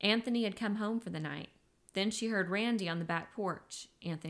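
This is plain reading aloud, with pitch that varies in an ordinary way.

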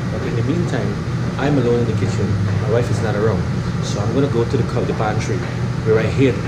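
Through loud background noise, a man rattles along at a very fast pace. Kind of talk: casual cooking vlog chat. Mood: cheerful, chatty. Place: kitchen. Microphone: phone near.

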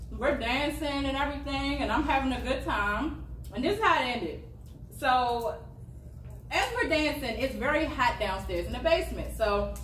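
A woman talks at a moderate pace amid light background noise and audible room echo. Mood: amused, telling a funny story. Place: home room. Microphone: camera far.

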